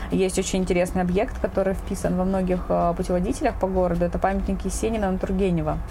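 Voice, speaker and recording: Amid noticeable background noise and audible room echo, a woman speaks at a very fast pace with very even loudness and hardly any pauses. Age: 30s. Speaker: podcast host. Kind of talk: casual chat. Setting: home balcony.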